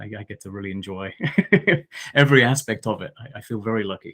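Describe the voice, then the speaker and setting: In a very clean recording with a silent background, a man with a southern English accent speaks at a fairly low pitch with fairly even intonation. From southeast England, Essex. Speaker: archaeologist. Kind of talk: interview. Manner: halting, many repetitions.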